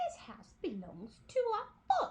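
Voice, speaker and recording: A woman's put-on character voice, squeaky and at an extremely high pitch. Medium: read story.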